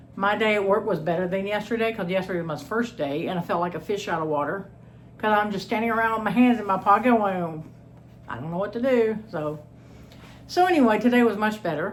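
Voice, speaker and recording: A woman with an American accent at a fairly quick pace, with audible room echo. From Texas. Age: 60s. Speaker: homestead channel host. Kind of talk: cooking vlog, casual chat. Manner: chatty, informal.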